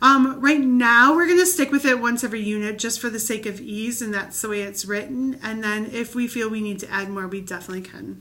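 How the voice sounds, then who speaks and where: A woman speaks at a fairly quick pace in a fairly high pitch, with ordinary pitch variation and big swings in loudness. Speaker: children's ministry leader. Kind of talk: training video. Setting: recorded video. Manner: fast.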